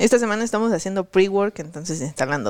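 Recorded with a dry, close sound and no echo, a woman speaks fairly quickly at a medium pitch with lively intonation. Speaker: podcast co-host and programming instructor. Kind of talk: casual chat.

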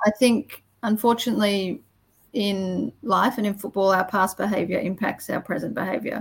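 Her pitch medium and her intonation fairly even, a woman speaks at a moderate pace. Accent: Australian. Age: 20s. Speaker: former football umpire. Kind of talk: interview.

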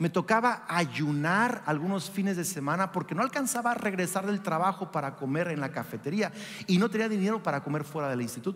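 With an animated tone and lively intonation, a man speaks at a high pitch. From Mexico. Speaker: pastor. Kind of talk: sermon. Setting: church with congregation.

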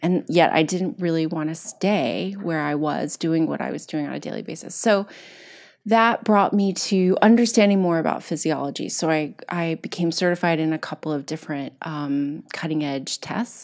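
Here a woman with an American accent uses a normal speaking voice at a fairly low pitch and a moderate pace. Her pitch variation is ordinary, and the recording is very clean with a silent background. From Kentucky, US. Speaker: wellness coach and entrepreneur. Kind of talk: casual interview.

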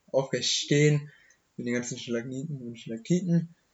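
The man's voice has a somewhat breathy quality. He keeps to a moderate pace. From Germany, Hochheim am Main (Hesse). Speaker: young local podcast guest. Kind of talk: casual chat. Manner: halting.

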